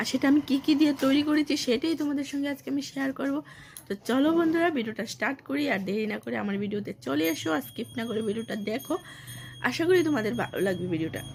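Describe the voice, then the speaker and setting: A woman speaks in a high voice with very wide swings in pitch. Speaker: cooking vlogger. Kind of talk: casual vlog talk to camera.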